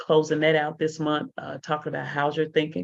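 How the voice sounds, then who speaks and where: Against a quiet background, a woman with vocal fry speaks at a very deep, low pitch. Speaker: motivational speaker and mentor. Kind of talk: solo livestream talk. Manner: fast.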